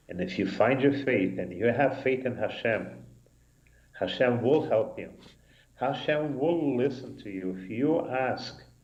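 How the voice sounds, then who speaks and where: Recorded with audible room echo, a man speaks at a fairly slow pace, his pitch varying in an ordinary way while his loudness swings widely. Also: medium pitch for a man. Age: 70s. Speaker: rabbi. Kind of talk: casual chat. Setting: synagogue live broadcast.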